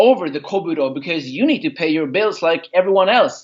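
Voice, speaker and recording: His intonation is lively. The man keeps a moderate pace. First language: not English (English is his third language). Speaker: karate instructor. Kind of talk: podcast interview. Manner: hesitant, with fillers.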